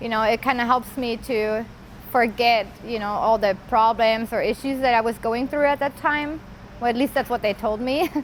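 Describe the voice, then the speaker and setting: At a moderate pace, a woman with a fairly high pitch talks in a fairly even intonation. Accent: German. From Germany, Bavaria. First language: German. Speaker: former inmate sharing life story. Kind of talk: interview testimony. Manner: hesitant, with fillers.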